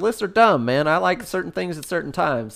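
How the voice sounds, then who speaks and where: Talking at a very fast pace, a man speaks with a Southern accent. The recording is very clean, with a silent background. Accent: sounds Southern. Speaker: podcast co-host. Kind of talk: casual chat.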